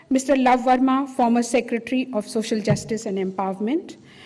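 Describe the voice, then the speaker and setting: A woman with a high voice keeps her intonation fairly even while noticeable background noise carries on behind her. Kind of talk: formal conference speech. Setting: conference hall with audience.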